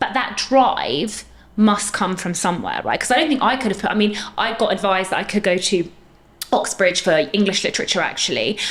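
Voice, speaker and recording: A woman talks at a fairly quick pace and medium pitch with ordinary pitch variation, over noticeable background noise. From Middle East. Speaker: dentist, podcast co-host. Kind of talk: casual chat.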